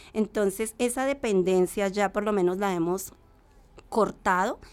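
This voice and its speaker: An unremarkable speaking voice moves at a fairly slow pace with fairly even intonation, on a very clean recording with a silent background. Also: woman. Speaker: rural farmer and association member. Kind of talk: testimony.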